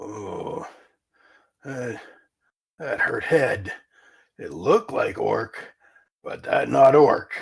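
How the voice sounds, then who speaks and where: Using a put-on character voice, a man speaks raspy and at a very slow pace, with long, frequent pauses. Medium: actual play. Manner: broken, clipped grammar; gruff, boastful.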